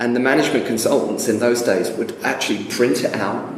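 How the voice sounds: A man speaks at a fairly quick pace and medium pitch, with ordinary pitch variation and audible room echo.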